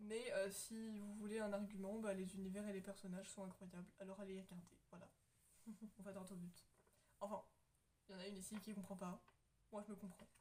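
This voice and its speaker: Somewhat breathy and dark, mellow in tone, the voice keeps a moderate pace and flat, monotone intonation, broken by long, frequent pauses. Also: woman. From France. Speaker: YouTuber. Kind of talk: casual chat.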